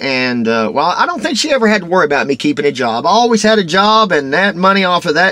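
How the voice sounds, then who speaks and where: Lively in intonation, a man with a Texas accent speaks over noticeable background noise. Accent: Texas twang. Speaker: vlogger. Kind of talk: casual vlog monologue. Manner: rambling, halting with fillers.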